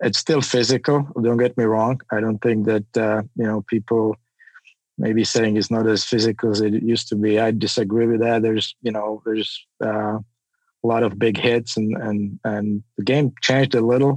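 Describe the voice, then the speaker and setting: With a non-native accent, a man speaks at a moderate pace in monotone, flat intonation, in a dry, close recording with no echo. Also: medium pitch for a man. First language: not English. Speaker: hockey scout. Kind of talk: interview.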